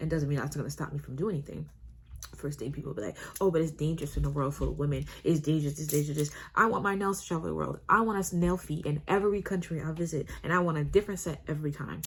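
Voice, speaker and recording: Talking at a very fast pace, a woman with a very deep, low pitch, ordinary pitch variation and vocal fry comes through. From Canada. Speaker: nail technician and vlogger. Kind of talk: casual vlog chat. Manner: hesitant, many fillers.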